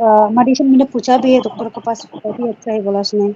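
A woman's fairly high voice with a dark, mellow tone, a fairly quick pace, and fairly even intonation.

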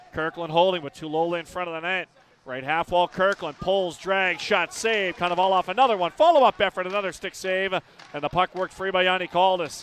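A man speaks in a high, energetic voice. The sound is dry with no echo, over light background noise. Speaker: hockey play-by-play announcer. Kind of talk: live play-by-play commentary over game action, spliced into highlight reel. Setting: arena broadcast of a game in Stockton. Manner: rapid-fire, clipped calls that climb in excitement on goals; energetic, urgent delivery. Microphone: headset.

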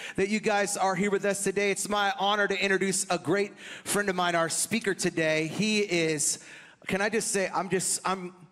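Against a quiet background, a man speaks at a moderate pace in a monotone, flat intonation with very even loudness. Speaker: guest. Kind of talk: speaker introduction to congregation. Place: stage. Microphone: handheld.

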